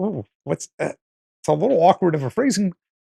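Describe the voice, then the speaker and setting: The sound is dry and close with no echo as a man speaks with an East Coast US accent. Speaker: podcast host, video editing professional. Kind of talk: casual podcast chat. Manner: animated.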